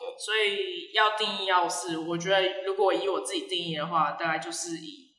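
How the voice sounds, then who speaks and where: Moderate pace with hardly any pauses, ordinary pitch variation, and noticeable background noise. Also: woman, medium pitch for a woman. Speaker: brunch restaurant owner. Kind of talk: casual interview. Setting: recorded inside her large restaurant. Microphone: echoey, sounds distant.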